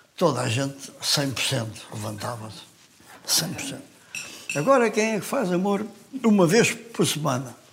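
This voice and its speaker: A man's fairly high voice with very wide pitch swings, fairly slow with long, frequent pauses, amid noticeable background noise and audible room echo. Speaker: weightlifter. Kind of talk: casual chat.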